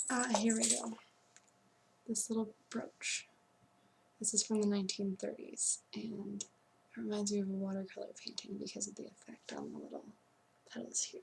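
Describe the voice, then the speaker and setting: A soft-spoken woman talks at a moderate pace. Her speech has long, frequent pauses. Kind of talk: ASMR antique shop role play. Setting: studio.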